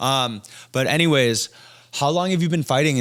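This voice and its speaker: A man with a normal speaking voice and an American accent talks at a fairly quick pace with lively intonation. The recording is very clean, with a silent background. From Massachusetts, US (came from Thailand at five). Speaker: podcast host. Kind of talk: casual interview chat.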